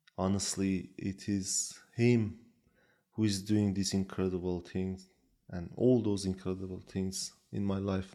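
A man with a Kurdish accent speaks slowly in a very deep, low, dark, mellow voice with fairly even intonation, at a fairly slow pace. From Iran, Kurdish region. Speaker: Bible translator. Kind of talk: testimony. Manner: halting, frequent fillers.

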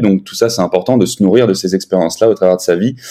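Very deep, low pitch from a man, dark and mellow in tone, intonation fairly even. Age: 20s. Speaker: podcaster and sales manager. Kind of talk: casual chat.

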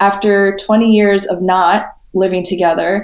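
A woman talks at a fairly slow pace with a medium pitch. She has a normal speaking voice. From New York City area (Queens, suburbs). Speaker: spiritual healer and motivational speaker. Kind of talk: podcast interview.

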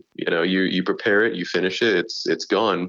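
Over a quiet background, a man uses an ordinary speaking voice at a fairly low pitch, with fairly even intonation and a fairly quick pace. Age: 20s. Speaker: YouTube gaming creator. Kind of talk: casual interview.

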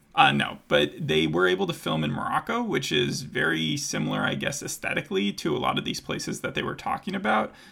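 Speaking with an American accent, a man keeps a fairly quick pace. Noticeable background noise runs beneath his voice. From United States. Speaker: podcast host. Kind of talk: casual chat.

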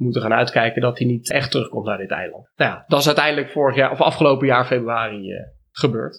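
Against a quiet background, a man speaks at a very fast pace. His medium-pitched voice keeps fairly even intonation. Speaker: dairy and cheese farmer. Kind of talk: interview conversation. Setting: on location at the farm.

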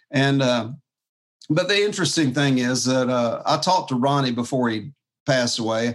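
Speaking in a Southern US accent at a medium pitch, a man keeps a moderate pace, ordinary pitch variation and very even loudness. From US South, Jacksonville, Florida. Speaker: fingerstyle guitarist. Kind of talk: casual chat.

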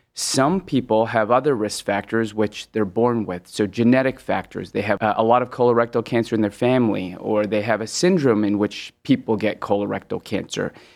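This is an ordinary speaking voice with ordinary pitch variation, moving at a fairly quick pace with hardly any pauses. The background is quiet. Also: man, medium pitch for a man. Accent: American. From Hong Kong, then US West Coast from age ten. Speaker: gastroenterologist. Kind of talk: medical interview.

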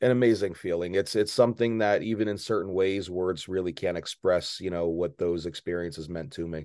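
A man's very deep, low voice with an American accent, dark and mellow in tone, at a fairly quick pace with hardly any pauses. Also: ordinary pitch variation, quiet background. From northern New Jersey. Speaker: pro wrestler. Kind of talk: interview.

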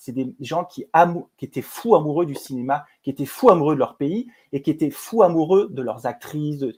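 Very clean, with a silent background, the recording captures a man at a fairly high pitch. He has an ordinary speaking voice and lively intonation. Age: 50s. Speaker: film producer and director. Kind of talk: interview conversation.

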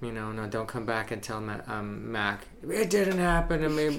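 Noticeable background noise sits under a man speaking at a moderate pace with lively intonation. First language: not English. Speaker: astrologer and bartender. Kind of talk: casual chat.

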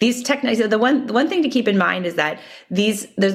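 Lively intonation and vocal fry from a woman with an American accent. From Minnesota, US Midwest. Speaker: healthcare company CEO and physician. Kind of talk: interview.

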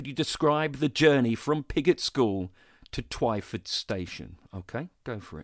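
A man with a southern English accent speaks at a fairly slow pace and a medium pitch, his intonation lively and his loudness swinging widely, in a dry, close recording with no echo that is very clean against a silent background. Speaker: podcast host. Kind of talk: interview; scripted narration.

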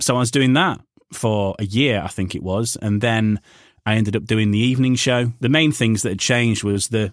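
In a Yorkshire accent, a man speaks at a fairly low pitch with fairly even intonation. The recording is very clean, with a silent background and a dry, close sound with no echo. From Yorkshire, northern England. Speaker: radio presenter and voiceover artist. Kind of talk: casual interview chat. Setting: home voiceover booth.

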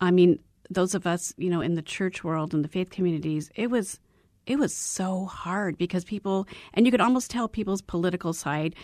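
A woman with a General American accent speaks at a moderate pace in a medium pitch. It is an unremarkable speaking voice with ordinary pitch variation. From Arizona. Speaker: radio host. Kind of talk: interview. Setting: studio.

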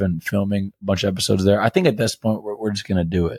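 A man with an American accent uses a normal speaking voice, fairly low in pitch with ordinary pitch variation, at a fairly quick pace in a dry, close sound with no echo. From Greece and US. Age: 30s. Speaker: podcast co-host. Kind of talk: casual chat.

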